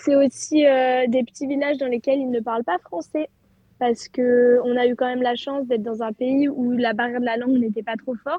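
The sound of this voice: A woman speaks at a moderate pace with a fairly high pitch and fairly even intonation. Her tone is dark and mellow with a slightly husky edge, and the sound is dry and close with no echo.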